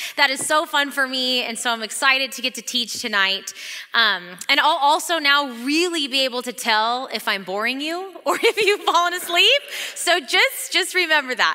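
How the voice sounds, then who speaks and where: Against a quiet background, a woman speaks at a moderate pace in a raised, projected voice with very wide pitch swings and big swings in loudness. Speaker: associate pastor. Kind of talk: sermon. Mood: warm, excited, laughing. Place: hall. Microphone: headset.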